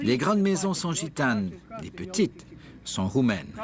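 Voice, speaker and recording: The voice moves slowly, with very wide pitch swings. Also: man. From Romania. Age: 70s. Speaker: hitchhiker interviewee. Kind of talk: interview.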